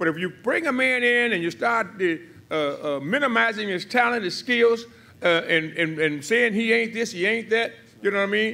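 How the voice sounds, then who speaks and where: In a raised, projected voice, a man talks at a moderate pace with a bright, sharp tone and lively intonation. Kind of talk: press conference speech. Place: hall. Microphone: podium.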